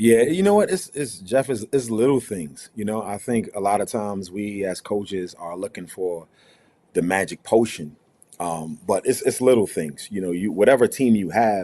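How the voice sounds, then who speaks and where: A man with an American accent speaks at a moderate pace in a dark, mellow tone, fairly low in pitch with ordinary pitch variation. The recording is very clean, with a silent background. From New York (Brooklyn). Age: 40s. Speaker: college basketball head coach. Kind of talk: media day interview.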